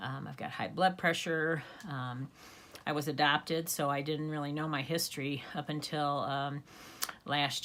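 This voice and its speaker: A woman with an American accent speaks at a very deep, low pitch. Her pace is moderate and her intonation fairly even. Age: 60s. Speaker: YouTuber. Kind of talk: casual vlog talk. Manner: hesitant with frequent fillers.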